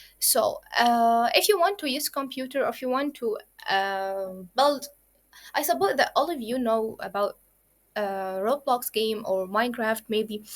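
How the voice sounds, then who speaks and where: Over a very clean recording with a silent background, a woman speaks at a high pitch in an Arabic accent. Her intonation is lively and her pace fairly slow. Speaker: programming instructor. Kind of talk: lecture. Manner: halting.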